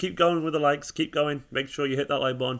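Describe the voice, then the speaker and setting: A very fast man's voice with an English accent, bright and sharp in tone, on a very clean recording with a silent background. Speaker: football fan channel host. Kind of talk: live stream watchalong chat.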